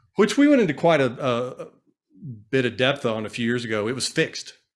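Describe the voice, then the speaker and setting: A man's medium-pitched voice with lively intonation, on a very clean recording against a silent background. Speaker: financial advisor. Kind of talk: casual chat. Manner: fast; animated.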